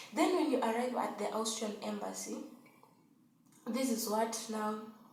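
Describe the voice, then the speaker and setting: A woman at a fairly high pitch and moderate pace, with audible room echo and noticeable background noise. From Kenya. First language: not English (Swahili-speaking). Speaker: vlogger, au pair. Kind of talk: casual tutorial vlog.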